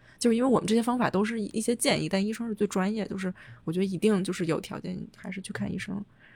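At a very fast pace, a woman speaks with a medium pitch and fairly even intonation. Her voice is somewhat breathy. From China. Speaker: podcast host, urban designer. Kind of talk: casual chat.

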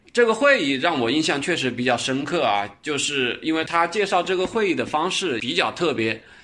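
In a slight Changsha accent, a man speaks at a moderate pace with a fairly high pitch and a bright, sharp tone. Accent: slight Changsha accent in Mandarin. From Changsha, Hunan, China. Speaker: podcast host recommending web novels. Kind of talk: casual book recommendation monologue.

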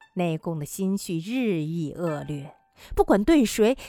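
Over music in the background, a woman speaks at a very slow pace, her pitch swinging very widely. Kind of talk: literary audiobook narration of a short story.

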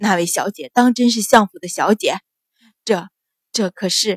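In a shaky, put-on character voice, a woman speaks at a moderate pace and medium pitch with ordinary pitch variation, the sound dry and close with no echo. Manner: trembling, fearful.

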